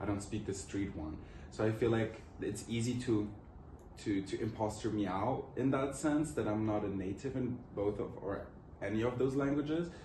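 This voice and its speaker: With a Portuguese accent, a man with a fairly low voice speaks at a moderate pace with ordinary pitch variation, amid audible room echo and noticeable background noise. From Luxembourg. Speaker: student interviewee. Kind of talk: interview answers.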